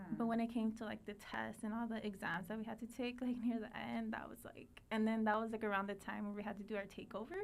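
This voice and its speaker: With a Spanish accent, a woman with a fairly high pitch talks very fast in a flat monotone with hardly any pauses, over noticeable background noise. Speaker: teacher. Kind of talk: interview. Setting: podcast recording.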